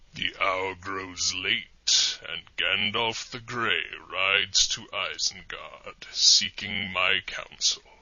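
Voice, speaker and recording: A man uses a put-on character voice at a fairly low pitch. He goes at a very slow pace with hardly any pauses. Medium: audio drama. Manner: deadpan, sardonic.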